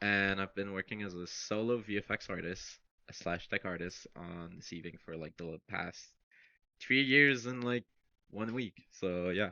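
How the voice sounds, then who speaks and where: An unremarkable speaking voice from a man, fairly low in pitch, with ordinary pitch variation and a fairly slow pace. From Canada. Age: 20s. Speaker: VFX artist. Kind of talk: casual interview chat.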